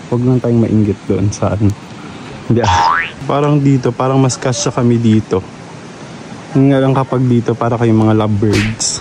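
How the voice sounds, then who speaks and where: Over noticeable background noise, a man with a medium pitch talks at a moderate pace with ordinary pitch variation, very even loudness, and long, frequent pauses. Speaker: travel vlogger. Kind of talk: casual vlog narration. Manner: soft-spoken.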